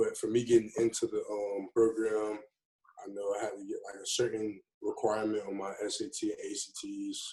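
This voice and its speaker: A man speaks with an American accent at a moderate pace. His loudness swings widely. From Florida, Tampa. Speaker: college football player. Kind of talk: interview. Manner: casual, hesitant with fillers.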